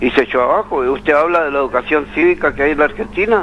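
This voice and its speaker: Pitched fairly high, a man speaks with lively intonation while noticeable noise runs in the background. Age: 80s+. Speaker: caller. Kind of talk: phone-in opinion. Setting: phone call. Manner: animated; halting.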